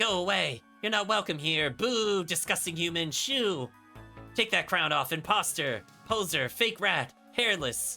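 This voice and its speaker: Delivered at a moderate pace and middle pitch, a shrill, put-on character voice plays over faint background music. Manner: shrill, hostile, shouting.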